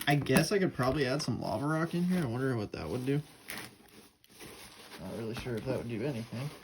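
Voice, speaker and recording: The speech runs at a fairly quick pace over noticeable background noise. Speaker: hobby worm farmer, video maker. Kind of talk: casual tutorial. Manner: fast; casual, hesitant.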